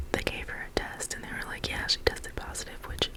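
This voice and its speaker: Noticeable background noise fills the clip. Within it, a woman whispers. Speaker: ASMR creator. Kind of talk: casual personal story to camera. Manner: whispered.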